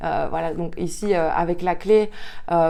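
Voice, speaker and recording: A woman's fairly low voice stays monotone and flat in intonation. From Belgium, Liège. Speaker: tarot card reader. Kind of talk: tarot reading guidance. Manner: hesitant, many filler sounds.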